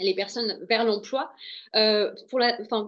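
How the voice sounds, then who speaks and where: A woman's fairly high-pitched voice. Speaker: local mobility official. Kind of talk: webinar panel talk. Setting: online webinar. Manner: fast; hesitant, many fillers.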